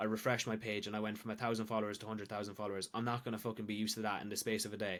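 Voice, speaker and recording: In a very clean recording with a silent background, a man with an Irish accent speaks at a very fast pace and medium pitch. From Ireland. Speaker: weight loss coach and social media creator. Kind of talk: casual podcast chat. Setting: podcast.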